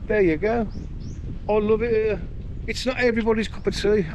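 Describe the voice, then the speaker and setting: A man speaks in a relaxed tone with a British accent. Noticeable background noise runs behind him. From UK. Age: 60s. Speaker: vlogger. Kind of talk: casual vlog monologue. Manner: relaxed, rambling with fillers.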